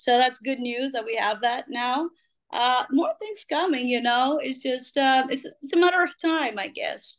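With a Greek accent, a woman speaks at a fairly slow pace in a high pitch with ordinary pitch variation against a quiet background. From Greece. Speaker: rock singer; interviewee. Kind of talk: interview. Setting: video call. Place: home room. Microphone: video call.

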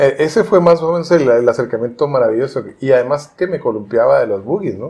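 A man talks at a fairly quick clip. His fairly high voice moves with lively intonation. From Cuauhtémoc, Chihuahua, Mexico. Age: 50s. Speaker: writer. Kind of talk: oral history interview answer.

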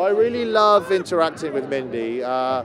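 Lively intonation carries the voice at a moderate pace. The sound is dry with no echo, though noticeable background noise is present. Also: man. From England. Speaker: actor. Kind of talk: interview answer. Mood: cheerful, relaxed. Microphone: handheld.

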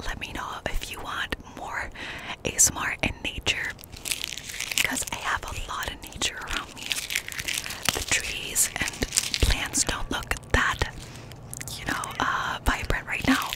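A woman at a fairly slow pace with long, frequent pauses, in a dry sound with no echo and loud background noise. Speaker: ASMR creator. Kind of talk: casual vlog chat. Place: open country. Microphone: studio mic.

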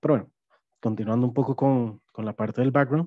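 A man's dark, mellow tone with ordinary pitch variation, dry sound with no echo, and a quiet background. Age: 30s. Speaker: app development project manager, neurodivergent employee; webinar panelist. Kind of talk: personal testimony. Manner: halting, many fillers. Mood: calm, reflective. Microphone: headset.

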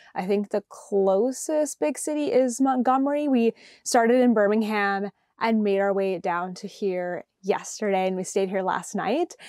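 A woman speaks with lively intonation and a dark, mellow tone. The sound is dry with no echo, over a quiet background. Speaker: podcast host. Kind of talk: casual vlog chat. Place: home room. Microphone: lapel.

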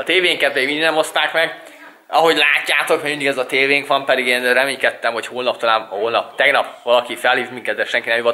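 A man speaks very fast with a fairly high pitch. His intonation stays fairly even over noticeable background noise. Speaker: vlogger. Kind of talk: casual vlog talk to camera.

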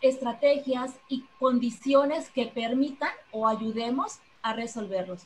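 Very slowly, a woman with a high pitch speaks over light background noise. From Mexico. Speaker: seminar director, teacher; teacher. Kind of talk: formal opening speech. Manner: formal. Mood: warm, earnest. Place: home room. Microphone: video call.

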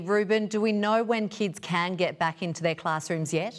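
Over a quiet background, a woman with a plain, everyday voice speaks at a moderate pace with fairly even intonation. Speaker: TV news presenter. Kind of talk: news reading. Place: studio. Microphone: lapel.

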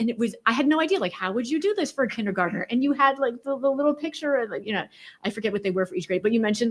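A woman talks at a very fast pace in an animated tone. Her voice is high, with lively intonation. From New England. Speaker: school board member. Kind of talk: public meeting discussion. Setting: school board meeting.

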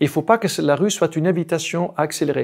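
A man's high voice with a Dutch accent, at a moderate pace against a quiet background. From Netherlands, rural village. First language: Dutch (speaking French). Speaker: diplomatic attaché and cycling advocate; cycling advocacy spokesperson, guest. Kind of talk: interview. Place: studio. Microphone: lapel.

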